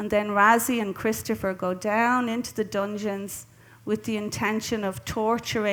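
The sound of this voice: An unforced reading voice delivers the lines with fairly even intonation.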